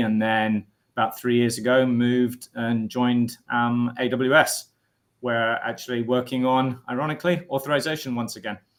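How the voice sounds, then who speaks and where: Speaking with a British accent at a moderate pace, a man holds a medium pitch with monotone, flat intonation. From UK. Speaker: technical product manager, co-host. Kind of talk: casual chat.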